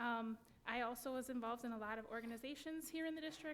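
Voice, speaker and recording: With a Wisconsin accent, a woman talks at a fairly quick pace in a high pitch. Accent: Wisconsin (Upper Midwest). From US Midwest, West Allis, Wisconsin. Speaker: school board candidate. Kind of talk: candidate forum statement.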